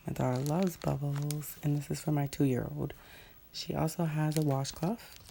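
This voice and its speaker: A woman's very deep, low pitch with a dark, mellow tone. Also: fairly even intonation, moderate pace. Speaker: vlogger. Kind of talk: casual show-and-tell.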